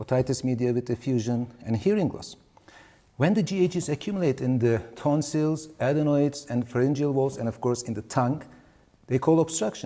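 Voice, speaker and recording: The speaker has a non-native accent and a dark, mellow tone. The pace is moderate. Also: man. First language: Turkish. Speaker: pediatric ENT surgeon, professor. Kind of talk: webinar lecture. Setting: webinar.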